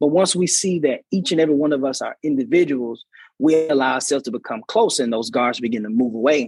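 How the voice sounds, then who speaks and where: Fairly quick and lively in intonation, a man talks in an unremarkable speaking voice with a fairly high pitch. The sound is dry and close, with no echo. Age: 20s. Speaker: college student. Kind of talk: interview.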